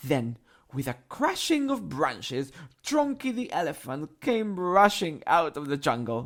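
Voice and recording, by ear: The speaker is reading aloud in a natural voice. The words come out read from a page.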